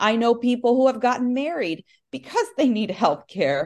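A woman with an American accent uses a normal speaking voice at a fairly high pitch, with ordinary pitch variation and a moderate pace. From Nicaragua, then Southern California. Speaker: union leader. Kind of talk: interview.

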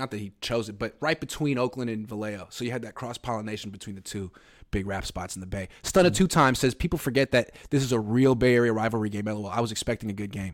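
On a very clean recording with a silent background, a man talks at a very fast pace. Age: 30s. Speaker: sports podcast host. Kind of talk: casual chat.

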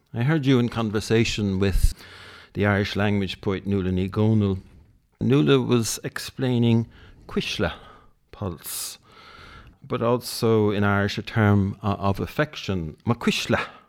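In a very clean recording with a silent background, a man with a fairly low pitch and ordinary pitch variation speaks at a moderate pace with long, frequent pauses. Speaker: poetry magazine editor. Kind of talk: interview. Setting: private house.

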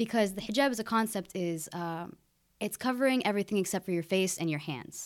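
A woman talks in an American accent at a medium pitch, with ordinary pitch variation. The recording is very clean, with a silent background. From Oregon, US (Keizer). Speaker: student. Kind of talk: casual chat.

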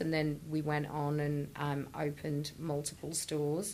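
A woman speaks at a fairly slow pace with a very deep, low pitch. Audible room echo surrounds her voice. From northwest England, Chester. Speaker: business founder and CEO. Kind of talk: interview.

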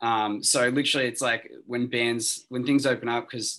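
A bright, sharp tone at a fairly quick pace, flat and monotone, in an Australian accent. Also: man. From Australia, Sydney. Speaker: rock band vocalist and guitarist. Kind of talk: interview, casual chat.

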